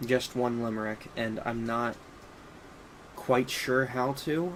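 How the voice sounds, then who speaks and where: A man speaks very slowly at a medium pitch, with noticeable background noise. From Appalachia, US. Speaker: streamer. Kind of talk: casual live stream chat with reading aloud. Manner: halting, many fillers.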